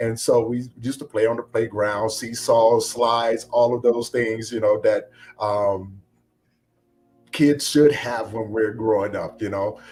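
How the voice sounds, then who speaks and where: A man's medium-pitched voice with an American accent, monotone, flat intonation and a fairly slow pace, over music in the background. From Virginia, US. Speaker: former prisoner sharing life story. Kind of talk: interview testimony. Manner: halting, many fillers.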